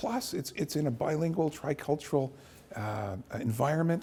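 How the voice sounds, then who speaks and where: With a Canadian accent, a man speaks at a moderate pace in a dark, mellow, somewhat breathy tone, on a very clean recording with a silent background. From Canada, Acadian, army family. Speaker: university president. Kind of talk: interview. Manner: halting, many fillers and repeats.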